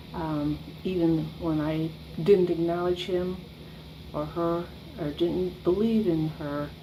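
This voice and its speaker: A woman with a fairly low pitch speaks in a monotone with flat intonation. Her pace is very slow, and audible room echo fills the recording. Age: 60s. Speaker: church member giving testimony. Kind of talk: testimony. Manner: halting, with frequent ums.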